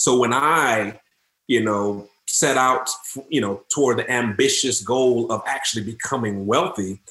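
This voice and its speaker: A man with an unremarkable speaking voice, medium pitch and an American accent, at a moderate pace. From Detroit, Michigan, US. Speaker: mortgage and finance professional. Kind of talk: podcast interview.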